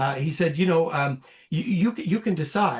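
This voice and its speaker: A man's high-pitched voice with lively intonation. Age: 60s. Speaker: cancer survivor. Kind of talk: testimony. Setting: podcast interview. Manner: halting.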